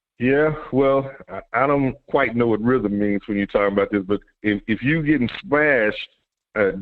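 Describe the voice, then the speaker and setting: A man with a normal speaking voice talks at a moderate pace in a medium pitch with ordinary pitch variation. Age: 60s. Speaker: football fan co-commentator. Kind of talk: casual sports talk show discussion.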